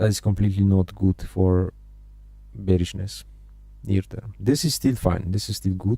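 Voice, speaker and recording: With a non-native accent, a man speaks in a very deep, low pitch and a dark, mellow tone. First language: not English. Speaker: day trading streamer. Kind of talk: live trading stream commentary. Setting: live stream. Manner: halting, frequent repetitions and fillers.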